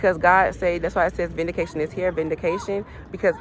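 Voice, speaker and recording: An animated woman talks at a fairly quick pace over noticeable background noise. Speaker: tarot reader. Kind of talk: spiritual reading vlog. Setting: outdoors. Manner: fast.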